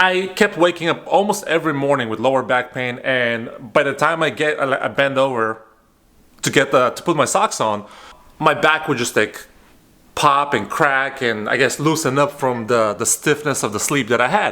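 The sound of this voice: Lively in intonation, a man of medium pitch talks at a moderate pace with a bright, sharp tone.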